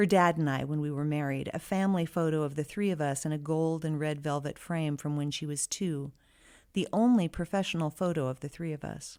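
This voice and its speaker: A woman speaks at a fairly quick pace in a very deep, low pitch. The recording is very clean with a silent background. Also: ordinary pitch variation. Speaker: actor and voice over actor. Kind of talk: first-person story narration.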